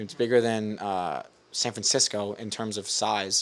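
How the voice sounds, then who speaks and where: A man with a New York accent speaks at a medium pitch on a very clean recording with a silent background. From Staten Island, New York City. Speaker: filmmaker, actor and rapper. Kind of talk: casual chat. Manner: animated.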